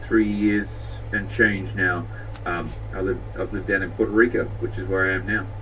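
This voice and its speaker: Music plays in the background. A man with an Australian accent talks at a moderate pace. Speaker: tech company CEO. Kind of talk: interview.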